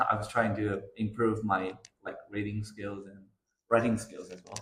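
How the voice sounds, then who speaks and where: In a Chinese accent, a man talks at a fairly low pitch. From China. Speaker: children's author and illustrator. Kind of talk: interview answers. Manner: hesitant, with fillers.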